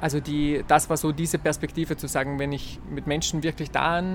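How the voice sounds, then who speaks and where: A man speaks in a fairly high voice. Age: 30s. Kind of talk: interview. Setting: seated in a room near a church.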